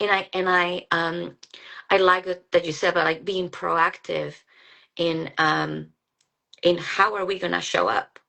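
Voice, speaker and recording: A woman speaks in a Mexican accent at a moderate pace. Vocal fry runs through her voice. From Mexico, Guadalajara. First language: Spanish. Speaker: psychologist. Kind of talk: casual chat. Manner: halting.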